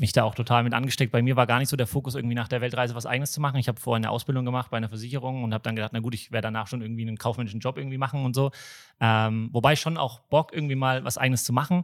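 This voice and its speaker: At a very fast pace, a man speaks with medium pitch and fairly even intonation in a very clean recording with a silent background. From Nuremberg, Franconia. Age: 30s. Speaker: startup founder. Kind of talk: podcast interview.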